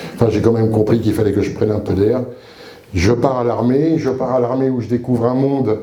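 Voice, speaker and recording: A man speaks at a moderate pace with a medium pitch and fairly even intonation. There is noticeable background noise and audible room echo. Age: 60s. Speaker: retired soldier and chaplain giving testimony. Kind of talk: testimony. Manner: casual, humorous storytelling with hesitations.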